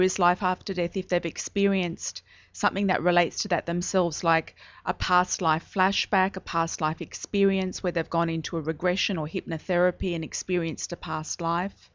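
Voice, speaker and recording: A woman with an Australian accent talks at a fairly quick pace. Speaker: psychic medium. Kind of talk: radio interview.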